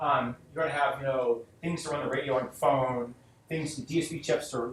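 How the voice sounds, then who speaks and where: A man's voice is fairly high in pitch and somewhat breathy. His intonation stays fairly even. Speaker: guest lecturer, software engineer. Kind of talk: lecture. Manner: halting with repetitions.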